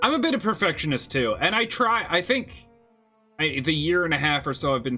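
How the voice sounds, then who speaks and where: A man speaks with music playing in the background. His pitch rises and falls in an ordinary way. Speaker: gaming streamer. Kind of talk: live gameplay stream chat. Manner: occasional stutter mid-sentence; casual, conversational.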